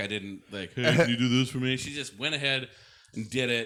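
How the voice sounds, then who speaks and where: At a moderate pace, a man with an American accent speaks at medium pitch in a bright, sharp tone, on a very clean recording with a silent background. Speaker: podcast co-host. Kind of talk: casual chat.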